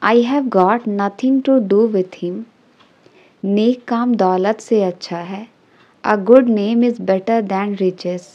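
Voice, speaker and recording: A dark, mellow tone with fairly even intonation, in an Indian accent. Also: woman, fairly high pitch for a woman. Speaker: English teacher. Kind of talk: tutorial.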